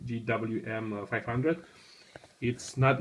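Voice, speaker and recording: A man's medium-pitched voice with a non-native accent and fairly even intonation. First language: not English. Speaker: tech hobbyist video maker. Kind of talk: tutorial. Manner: halting.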